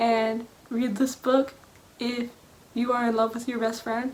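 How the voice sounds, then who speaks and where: At a fairly slow pace, a woman speaks in a high pitch with monotone, flat intonation. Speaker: book vlogger. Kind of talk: casual vlog monologue.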